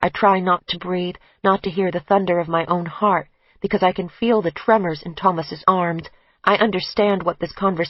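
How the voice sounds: Fairly even intonation runs through the reading. It comes in a natural reading voice.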